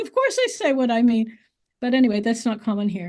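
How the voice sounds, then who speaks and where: Over a quiet background, a woman speaks at a high pitch and a fairly quick pace. Her pitch swings very widely. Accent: American. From US. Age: 80s+. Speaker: author. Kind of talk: interview conversation.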